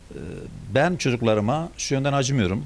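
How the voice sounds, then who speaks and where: A man speaks fairly quickly at a medium pitch with vocal fry. His pitch swings very widely. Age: 70s. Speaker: father of detained teachers. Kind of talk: interview answer.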